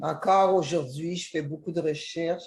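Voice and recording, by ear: A woman speaks at a moderate pace in a low pitch, her slightly mellow tone carrying a slightly husky edge and fairly even intonation.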